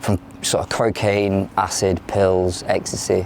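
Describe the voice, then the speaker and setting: A man's fairly low-pitched voice sits among noticeable background noise. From London, moved to South Yorkshire at ten. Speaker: former addict in recovery, academic researcher. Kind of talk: interview testimony. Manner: hesitant, many fillers.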